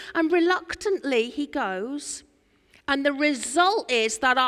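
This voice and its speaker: Animated tone from a woman in an East Anglian accent, with very wide pitch swings, a fairly slow pace, and a very clean recording with a silent background. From Norfolk, England. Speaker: preacher. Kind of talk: sermon. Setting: church.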